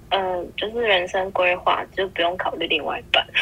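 There is noticeable background noise. The speaker goes at a moderate pace with fairly even intonation. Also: woman. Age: 20s. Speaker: podcast guest. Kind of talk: casual chat.

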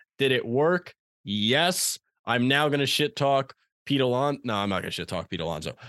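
With an American accent, a man talks in an animated tone, his pitch swinging very widely, in a dry, close recording with no echo. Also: medium pitch for a man, moderate pace, quiet background. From Long Island, New York. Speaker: sports podcast co-host. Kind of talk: casual chat.

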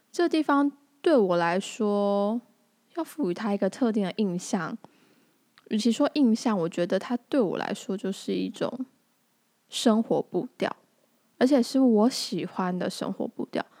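Her fairly high voice has lively intonation, moving at a fairly slow pace with long, frequent pauses. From Tainan, Taiwan (Anping). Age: 20s. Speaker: podcast host. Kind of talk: casual monologue.

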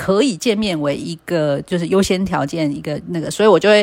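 A woman at a fairly quick pace, on a very clean recording with a silent background. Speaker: podcast host. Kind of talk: solo casual podcast monologue. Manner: hesitant, many fillers.

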